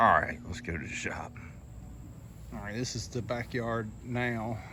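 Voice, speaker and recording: A man with a Southern US accent speaks at a fairly slow pace in a medium pitch, his bright, sharp tone edged with vocal fry and fairly even intonation, with audible room echo. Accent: US South. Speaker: lawn care business owner. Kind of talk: casual vlog walkthrough. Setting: outdoors. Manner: whispering briefly.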